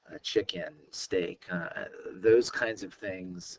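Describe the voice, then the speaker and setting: This is a man speaking. His pitch sits fairly low. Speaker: science teacher. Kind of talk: recorded lecture. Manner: hesitant, many fillers.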